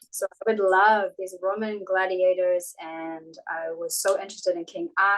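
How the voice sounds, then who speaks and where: The woman's intonation is monotone and flat. She keeps a moderate pace. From New Zealand, Auckland. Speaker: martial arts practitioner. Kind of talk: interview. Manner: clear and articulate.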